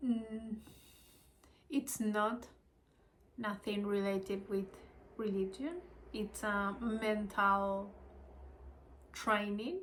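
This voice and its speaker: A woman of medium pitch in a Spanish accent, with fairly even intonation, a very slow pace, and long, frequent pauses. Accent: Spanish-speaker accent in English. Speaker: spiritual study video creator. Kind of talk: casual self-recorded study video. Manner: halting.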